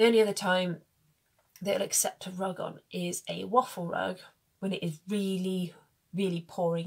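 Against a quiet background, a somewhat breathy woman speaks at a moderate pace. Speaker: horse owner vlogger. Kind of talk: casual vlog chat. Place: home room. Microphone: phone near.

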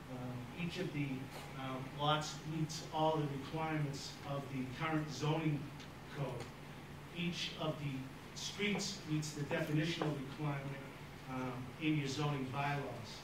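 At a moderate pace, the voice stays monotone and flat, with audible room echo and noticeable background noise. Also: man. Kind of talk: formal presentation to a board. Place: meeting room.

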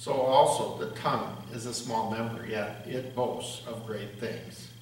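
A man speaks at a fairly slow pace, with light background noise and audible room echo. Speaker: pastor or lay reader. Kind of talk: scripture reading. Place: church.

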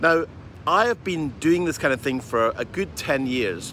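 With lively intonation, a man speaks at a moderate pace in a dry sound with no echo and light background noise. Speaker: business coach. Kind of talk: casual vlog chat. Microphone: phone near.

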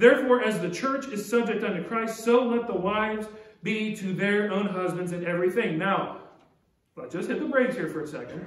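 A man's high-pitched voice at a fairly quick pace, with ordinary pitch variation and audible room echo. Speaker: pastor. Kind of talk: sermon. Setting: church. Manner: earnest, urgent preaching; direct, exhorting the congregation. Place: church. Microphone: podium.

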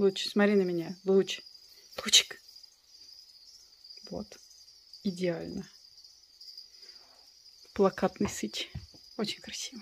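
With light background noise behind her, a woman talks at a very slow pace, leaving long, frequent pauses as her loudness swings widely. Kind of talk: casual vlog chat. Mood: playful, amused. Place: home room. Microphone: phone near.

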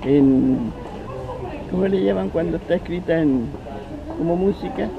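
A man with a Chilean accent, fairly slow, with very wide pitch swings and noticeable background noise. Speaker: actor and journalist. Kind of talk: interview answer. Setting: outdoors.

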